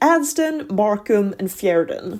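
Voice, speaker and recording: Over a silent background in a very clean recording, a woman speaks at a very slow pace with very wide pitch swings. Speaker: book reviewer. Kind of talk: book review, scripted voiceover.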